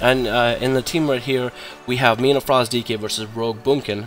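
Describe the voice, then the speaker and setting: A man rattles along at a very fast pace in a medium pitch, with noticeable background noise around him. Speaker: gaming video creator, player-versus-player guide maker. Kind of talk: gameplay tutorial commentary. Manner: casual, conversational with filler words.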